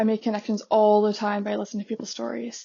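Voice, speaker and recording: An animated tone with a Canadian accent. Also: woman. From Canada. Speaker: podcast host. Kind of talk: casual monologue.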